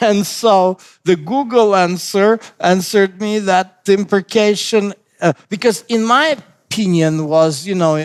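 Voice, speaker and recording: A man with a non-native accent talks at a fairly slow pace. His pitch is high, with ordinary pitch variation. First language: not English. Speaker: pastor. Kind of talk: bible study discussion. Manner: halting, many fillers and restarts.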